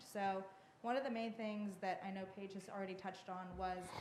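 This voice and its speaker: There is audible room echo and noticeable background noise as a woman with a medium pitch speaks at a moderate pace. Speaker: historic preservation consultant. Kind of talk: public meeting presentation. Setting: town hall meeting. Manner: hesitant, many fillers.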